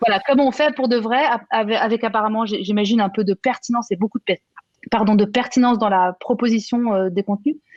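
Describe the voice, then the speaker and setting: With very even loudness, a woman speaks fairly quickly in a fairly high pitch and fairly even intonation, the sound dry and close with no echo. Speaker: conference moderator. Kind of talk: conference panel discussion. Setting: trade show conference. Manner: fast.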